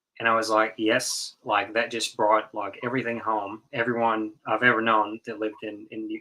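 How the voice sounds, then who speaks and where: At a moderate pace and with hardly any pauses, a man with an American accent and a fairly low pitch speaks in a monotone, flat intonation. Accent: slight Southern twang, mostly suppressed. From North Carolina. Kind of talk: casual chat. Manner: halting, many repetitions and fillers.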